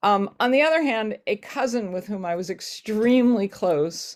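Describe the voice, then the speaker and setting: A woman with lively intonation at a fairly slow pace, in a very clean recording with a silent background. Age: 60s. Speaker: rabbi. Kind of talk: panel discussion. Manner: halting.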